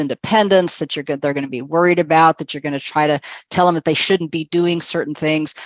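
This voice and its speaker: The woman speaks with a very deep, low pitch. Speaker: webinar presenter on aging and fall prevention. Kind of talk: online seminar presentation. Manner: fast.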